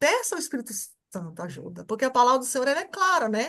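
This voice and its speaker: At a very fast pace, a woman speaks in a high voice with very wide pitch swings. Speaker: church class teacher. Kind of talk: teaching a welcome class. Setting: video call.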